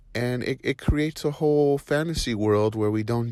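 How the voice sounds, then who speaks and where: A man uses a normal speaking voice at a moderate pace. His intonation is lively. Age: 40s. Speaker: client testimonial. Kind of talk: testimony.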